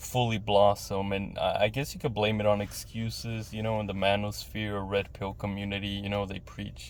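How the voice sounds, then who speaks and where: This man has a fairly low pitch and ordinary pitch variation, speaking at a moderate pace. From West Texas. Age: 30s. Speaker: vlogger. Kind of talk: personal monologue. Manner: halting.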